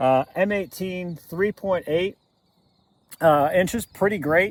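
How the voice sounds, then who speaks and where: Loud, fairly slow speech with lively intonation in a dry, close sound with no echo. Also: man. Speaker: pistol shooting channel host. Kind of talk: casual video commentary at a shooting range. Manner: halting, many fillers.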